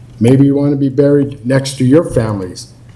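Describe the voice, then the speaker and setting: A man speaks with an American accent at a fairly slow pace, his intonation fairly even. Noticeable background noise and audible room echo are present. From Colorado (Lafayette). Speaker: public commenter. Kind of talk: public comment at council meeting. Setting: city council meeting.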